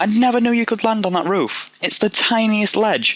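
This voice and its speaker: A man speaks with a Yorkshire accent. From Yorkshire, northern England. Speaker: gaming commentator. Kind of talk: gameplay commentary. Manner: rambling, casual, halting with restarts.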